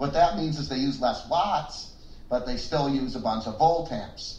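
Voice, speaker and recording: A man with an American accent speaks at a moderate pace with lively intonation, his voice carrying audible room echo over noticeable background noise. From United States. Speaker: podcast co-host. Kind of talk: casual chat.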